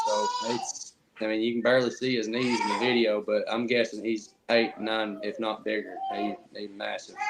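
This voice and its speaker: A man at a fairly quick pace with an Appalachian accent, over noticeable background noise. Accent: Southern US (Appalachian). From East Tennessee. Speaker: Bigfoot researcher, podcast guest. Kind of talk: casual chat.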